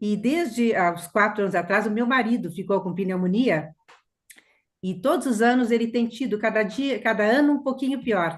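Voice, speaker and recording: A woman speaks at a moderate pace against a quiet background. Her fairly high voice is somewhat breathy, with ordinary pitch variation. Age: 70s. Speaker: course participant. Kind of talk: personal testimony in group sharing. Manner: halting.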